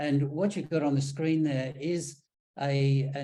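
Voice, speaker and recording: With an Australian accent, a man speaks at a moderate pace and fairly high pitch. His tone is dark and mellow, his intonation monotone and flat. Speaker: engineer on sanitation projects. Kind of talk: presentation. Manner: hesitant, many ums and repeats.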